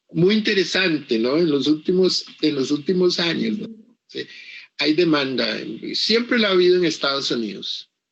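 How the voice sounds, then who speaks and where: Pitched high, a man speaks at a moderate pace with lively intonation. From Costa Rica, Caribbean coast (Limón). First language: English (speaking Spanish). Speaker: author. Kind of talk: interview. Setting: virtual book fair presentation. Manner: halting, with many repetitions.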